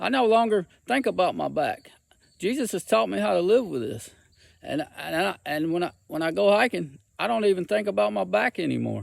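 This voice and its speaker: With a Southern US accent, a man talks at a moderate pace in a fairly high pitch, his pitch swinging very widely. The recording is very clean, with a silent background. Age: 60s. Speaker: hiking vlogger. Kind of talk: personal testimony. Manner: halting, repetitive.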